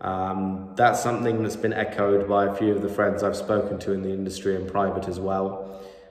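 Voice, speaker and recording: Amid audible room echo, a man with a fairly low voice talks at a fairly quick pace in monotone, flat intonation with hardly any pauses. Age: 20s. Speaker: MMA content creator. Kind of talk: solo commentary video. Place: home room. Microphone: phone near.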